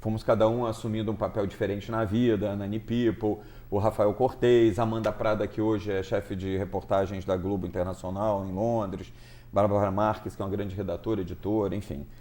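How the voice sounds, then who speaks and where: A man talks at a fairly quick pace in a dark, mellow tone. His fairly low pitch holds a monotone, flat intonation. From Rio de Janeiro state, Brazil. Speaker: TV director and writer. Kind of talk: talk show interview.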